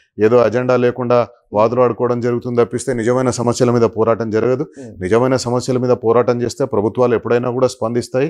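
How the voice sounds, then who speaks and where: Against a quiet background, a man speaks at a medium pitch in a flat monotone with very even loudness. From Telangana, Mahabubnagar district; Telangana. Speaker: media executive, former journalist; former journalist. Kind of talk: interview. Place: office. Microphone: lapel.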